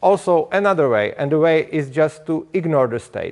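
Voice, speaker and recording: This man has a Czech accent and a fairly high pitch. He talks at a moderate pace. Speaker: speaker at a liberty conference. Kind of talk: conference talk. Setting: stage with audience. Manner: halting.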